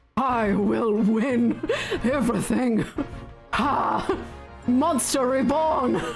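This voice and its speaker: A put-on character voice with a fairly high pitch speaks at a very slow pace over clear music in the background. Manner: loud, dramatic, shouty.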